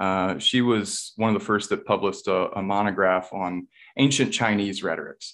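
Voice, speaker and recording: Against a quiet background, a man with an American accent speaks at a moderate pace, his pitch fairly low and his intonation fairly even. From Virginia, US. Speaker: university writing instructor. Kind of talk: casual interview. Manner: halting, with fillers and repeated words.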